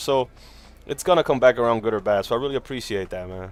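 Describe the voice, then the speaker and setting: In a non-native accent, a man talks at a fairly quick pace with an animated tone and lively intonation. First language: not English. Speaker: gaming livestreamer. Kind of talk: casual live stream chat. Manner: casual, animated.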